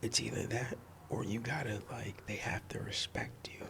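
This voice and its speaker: Soft-spoken and relaxed in tone, a man with a medium pitch talks at a fairly slow pace. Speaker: sports commentator, content creator. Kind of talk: ASMR sports commentary ramble, casual talk to camera. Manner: soft-spoken, relaxed.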